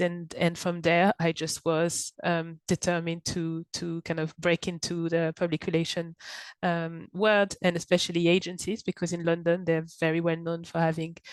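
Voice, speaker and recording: A woman speaks in a French accent with monotone, flat intonation and a fairly low pitch. Her pace is moderate, and the sound is dry and close with no echo. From France, Paris. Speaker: content marketing director. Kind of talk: podcast interview. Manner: hesitant, many fillers.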